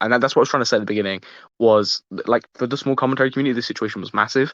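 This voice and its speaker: Against a quiet background, a man speaks with a British accent and a bright, sharp tone. The sound is dry and close with no echo, and his intonation stays fairly even. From UK. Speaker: podcast host. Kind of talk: casual chat. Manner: halting.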